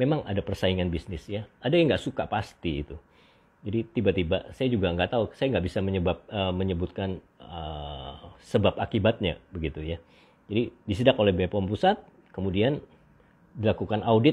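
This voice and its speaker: A man talks at a moderate pace with lively intonation and a fairly low pitch. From Indonesia. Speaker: doctor hosting beauty livestream. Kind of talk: livestream monologue. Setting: live stream. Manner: halting with many fillers. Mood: relaxed, opinionated. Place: home room. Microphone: earbuds.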